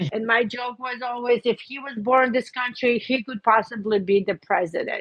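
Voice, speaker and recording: Her loudness swings widely as a woman talks at a moderate pace in a high pitch with ordinary pitch variation. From Belarus. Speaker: hairdresser. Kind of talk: interview testimony.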